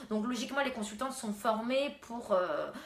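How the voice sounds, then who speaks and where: A woman speaks at a fairly quick pace. Her intonation stays fairly even, and room echo is audible. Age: 20s. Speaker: beautician. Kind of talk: live stream beauty advice. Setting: live stream at home. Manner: hesitant, many fillers.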